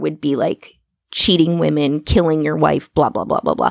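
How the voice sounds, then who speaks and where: The voice carries an Upper Midwest accent, recorded with a dry, close sound and no echo. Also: woman. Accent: Upper Midwest American. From US Midwest, Iowa. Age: 40s. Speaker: podcast host. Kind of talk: casual interview. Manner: slow; over-enunciates.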